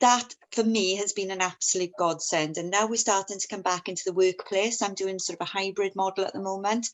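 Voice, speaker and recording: With a Welsh accent, the speaker moves at a fairly quick pace with hardly any pauses and fairly even intonation. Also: woman, medium pitch for a woman. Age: 40s. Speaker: union member, steel industry worker. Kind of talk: testimony. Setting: video call webinar.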